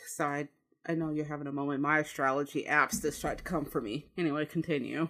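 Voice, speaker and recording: On a very clean recording with a silent background, a woman with a Chicago accent speaks at a fairly quick pace in a very deep, low pitch with fairly even intonation. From US Midwest, Chicago. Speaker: gaming podcast co-host. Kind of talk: casual chat.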